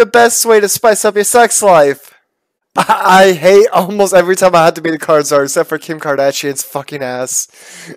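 Animated American-accented man at a moderate pace, dry sound with no echo, quiet background. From Boston, US. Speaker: YouTuber. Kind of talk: casual chat. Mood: playful, joking. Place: home room. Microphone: headset.

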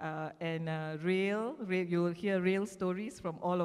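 A woman speaks in an ordinary speaking voice at a fairly slow pace. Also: quiet background. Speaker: panel moderator. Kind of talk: formal introduction of panelists. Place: stage. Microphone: handheld.

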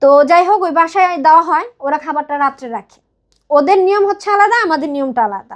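A woman speaks at an extremely high pitch. Her intonation is lively. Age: 30s. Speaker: wife of a migrant worker sharing her marriage story. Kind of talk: personal testimony in an advice show.

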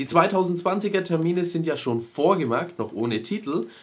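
A man's lively intonation with vocal fry. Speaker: YouTube film news host. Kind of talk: news show host to camera. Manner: casual, humorous.

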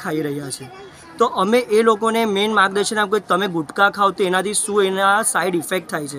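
Raised and projected, a man's high voice carries ordinary pitch variation over light background noise, with a dry sound and no echo. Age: 20s. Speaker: student running a charity foundation. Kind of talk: news interview. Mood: earnest, explanatory. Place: street.

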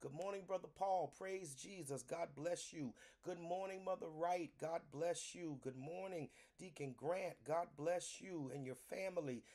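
Against a quiet background, a man speaks with a high pitch, ordinary pitch variation and a dark, mellow tone. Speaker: pastor leading online prayer. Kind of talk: sermon-style greeting and welcome. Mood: warm, reverent. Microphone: phone near.

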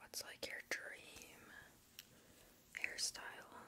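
In a gentle tone, a woman speaks in a whisper. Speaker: ASMR creator. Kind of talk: ASMR personal attention roleplay. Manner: soft, whispered, gentle. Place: home room. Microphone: studio mic.

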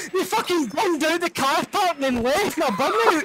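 A man shouting with a strong Scottish accent, his raised, projected voice extremely high in pitch, over noticeable background noise. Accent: thick Scottish. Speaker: gamer in voice chat. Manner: loud, excitable, shouts while telling stories.

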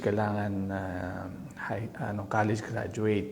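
There is audible room echo and noticeable background noise as a man speaks in a monotone, flat way at a fairly low pitch. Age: middle-aged. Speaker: vlogger. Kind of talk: casual commentary. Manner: halting.

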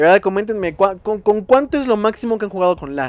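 A man races through his words at a very fast pace, his pitch varying in an ordinary way. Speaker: gaming youtuber. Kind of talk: gameplay commentary. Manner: animated.

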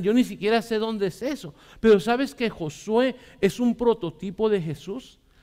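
A man speaks in an animated tone at a high pitch with ordinary pitch variation. The background is quiet. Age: 40s. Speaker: pastor. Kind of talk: sermon. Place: church. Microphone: headset.

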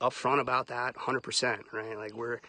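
Bright, sharp tone with fairly even intonation, a fairly quick pace and a dry sound with no echo. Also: man. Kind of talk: casual livestream talk. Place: open country. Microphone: phone near.

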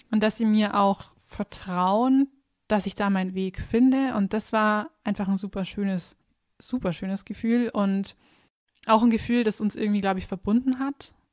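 A woman with a fairly high pitch talks at a moderate pace with fairly even intonation in an ordinary speaking voice, the sound dry and close with no echo on a very clean recording with a silent background. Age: 20s. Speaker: dentist. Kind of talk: casual chat.

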